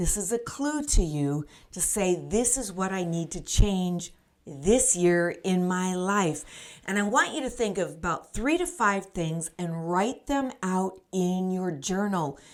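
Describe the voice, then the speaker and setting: With an unremarkable speaking voice, a woman speaks at medium pitch and a fairly slow pace with lively intonation. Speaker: life coach. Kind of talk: motivational podcast talk to camera. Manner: upbeat, encouraging.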